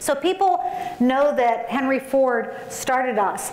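A woman speaks at a high pitch with ordinary pitch variation. Audible room echo surrounds her voice. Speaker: conference keynote speaker. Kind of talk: keynote speech. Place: hall. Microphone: podium.

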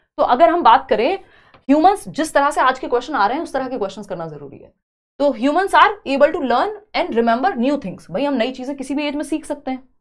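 A woman talks at a fairly quick pace and a high pitch, with lively intonation. Her loudness swings widely against a quiet background. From India. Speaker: online exam-prep teacher. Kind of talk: live online lecture. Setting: live stream. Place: studio.

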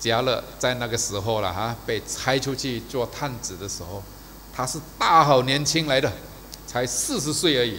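A man's bright, sharp voice with vocal fry, moderate pace and ordinary pitch variation over light background noise. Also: medium pitch for a man. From Malaysia. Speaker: preacher. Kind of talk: sermon. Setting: church service video. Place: church. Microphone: podium.

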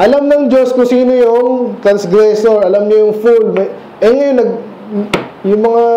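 A man in an animated tone at a fairly slow pace, with light background noise and audible room echo. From Philippines. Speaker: preacher. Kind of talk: sermon, verse-by-verse Bible teaching. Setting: church. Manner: conversational, explains and asks rhetorical questions; animated, mixes Tagalog and English. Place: church. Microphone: camera far.

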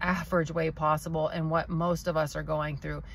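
A woman speaks in an American accent over light background noise, the sound dry with no echo. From United States. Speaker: vlogger. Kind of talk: casual talk to camera. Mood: earnest, reflective. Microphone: phone near.

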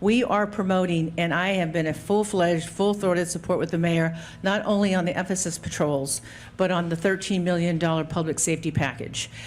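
This woman has a normal speaking voice with a fairly low pitch. She talks at a fairly quick pace with fairly even intonation. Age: 60s. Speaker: city council member and candidate. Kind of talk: political debate.

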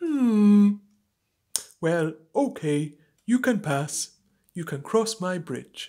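A woman does a cartoonish character voice at a medium pitch. She goes very slowly, with long, frequent pauses. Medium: puppet.

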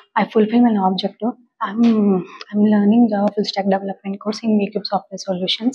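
The voice is somewhat breathy with a dark, mellow tone, delivered in a flat monotone at a fairly quick pace. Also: woman. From India, Andhra Pradesh/Telangana. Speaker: job candidate, student; candidate. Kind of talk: mock job interview. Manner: halting, many fillers and repetitions. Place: office. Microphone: lapel.

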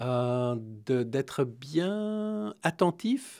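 Behind the speech, all is quiet. His pitch moves up and down over a very wide range. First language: not Romanian; speaks French here (speaking Romanian). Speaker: executive coach; interview guest. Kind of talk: interview via interpreter. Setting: radio studio. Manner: hesitant, many fillers. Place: studio. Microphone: studio mic.

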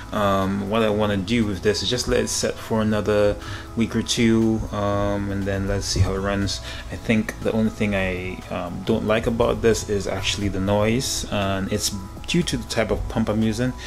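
Over clear background music, a man speaks at a moderate pace with a fairly low pitch and fairly even intonation. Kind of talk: casual vlog chat. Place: office. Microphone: phone near.

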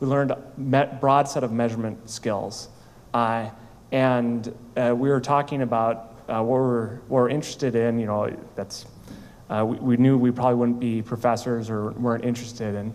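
In audible room echo, a man with an American accent speaks at a medium pitch and a moderate pace with monotone, flat intonation. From US Midwest, rural Minnesota. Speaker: startup founder and CEO. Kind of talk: conference talk. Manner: halting.

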